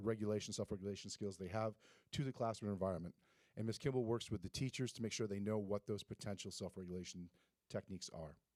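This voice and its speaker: Talking at a very fast pace, a man with a fairly low pitch and ordinary pitch variation comes through dry and close with no echo, on a very clean recording with a silent background. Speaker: school administrator. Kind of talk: presentation at board meeting. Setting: school board meeting.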